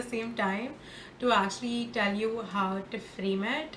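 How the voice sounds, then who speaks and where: At a fairly slow pace, a woman talks with noticeable background noise behind her. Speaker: spiritual guide and tarot reader. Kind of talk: casual talk to camera.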